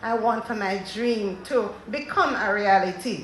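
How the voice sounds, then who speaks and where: Someone with a Jamaican accent talks at a fairly slow pace amid noticeable background noise and audible room echo. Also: woman. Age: 60s. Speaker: panelist at a women's agricultural conference. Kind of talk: panel talk to an audience.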